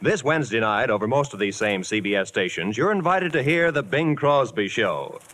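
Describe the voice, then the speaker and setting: Speaking at a moderate pace, a man with vocal fry uses a fairly high pitch that swings very widely. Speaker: radio announcer. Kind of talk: announcer reading intro, promos and credits.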